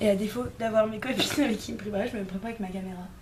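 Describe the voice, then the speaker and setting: A woman talks very fast at medium pitch with fairly even intonation. Audible room echo and noticeable background noise surround her voice. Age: 20s. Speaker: vlogger. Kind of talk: casual vlog chat. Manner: casual, filler-heavy.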